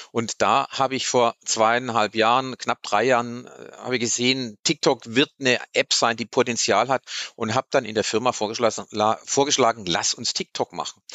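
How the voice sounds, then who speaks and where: Here is a man with a normal speaking voice at medium pitch. His intonation is fairly even and his pace moderate. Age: 50s. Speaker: PR manager. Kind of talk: casual interview. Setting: studio.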